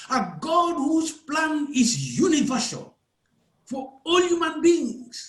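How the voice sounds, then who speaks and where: The speaker has a Ugandan accent. The pace is very slow. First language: Acholi. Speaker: preacher. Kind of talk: sermon. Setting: church service.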